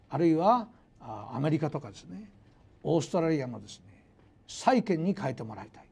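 The speaker moves at a fairly quick pace with vocal fry and very wide pitch swings. Loudness swings widely, and long pauses come often. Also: man, fairly high pitch for a man. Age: 60s. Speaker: university professor of economics. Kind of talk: lecture. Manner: formal. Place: hall. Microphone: lapel.

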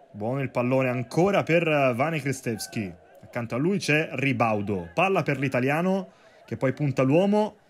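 The speaker's tone is animated and excited, with very wide pitch swings. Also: man, medium pitch for a man, moderate pace. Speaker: football commentator. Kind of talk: live sports commentary. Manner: animated, excited play-by-play.

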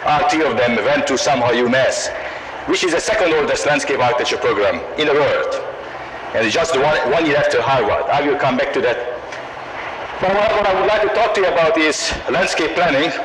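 A man talks at a fairly quick pace with a Hungarian accent. Noticeable background noise sits behind him. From Hungary. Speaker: professor of landscape architecture. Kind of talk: lecture. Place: hall. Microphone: old recording.

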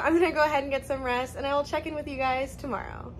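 Light background noise sits behind a woman's high-pitched voice. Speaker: travel vlogger. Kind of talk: casual vlog chat. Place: home room. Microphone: phone near.

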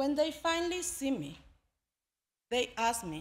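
Raised and projected, a woman's bright, sharp voice swings very widely in pitch at a very slow pace. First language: not English. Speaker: immigrant storyteller. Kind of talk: live storytelling performance, spoken word. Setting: live audience. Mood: earnest, emotional. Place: stage. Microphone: podium.

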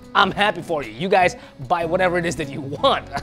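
A man is speaking. Clear music plays in the background. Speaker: show host. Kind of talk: commentary. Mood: humorous, joking. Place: studio.

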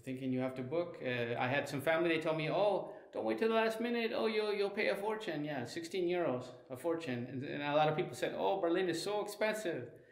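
The speech runs at a fairly quick pace with audible room echo. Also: man. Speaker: travel vlogger. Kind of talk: casual vlog chat. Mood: pleased about cheap price. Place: home room. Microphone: phone near.

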